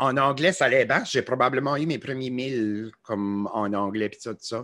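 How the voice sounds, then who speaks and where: A man with an Acadian accent speaks at a very slow pace and medium pitch. His pitch varies in an ordinary way over a quiet background. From Acadian New Brunswick. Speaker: musician and social media creator. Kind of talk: casual interview. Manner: hesitant, many fillers.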